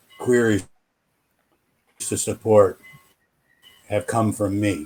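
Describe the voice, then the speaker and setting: In an American accent, a man with a fairly low voice speaks at a very slow pace with fairly even intonation. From United States. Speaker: game support staff. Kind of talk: casual panel discussion. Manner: hesitant, many fillers.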